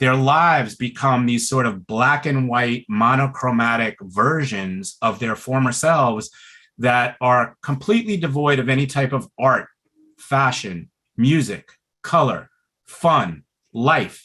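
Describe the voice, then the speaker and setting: Speaking at a fairly slow pace with an American accent, a man uses a medium pitch, ordinary pitch variation and a bright, sharp tone. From Brooklyn, New York. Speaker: pulmonary rehab doctor. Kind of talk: webinar talk. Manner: slow, relaxed tonight.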